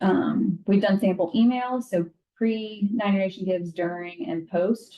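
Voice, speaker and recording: A woman at a medium pitch with an ordinary speaking voice, ordinary pitch variation and a moderate pace. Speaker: university alumni staff trainer. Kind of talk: training presentation.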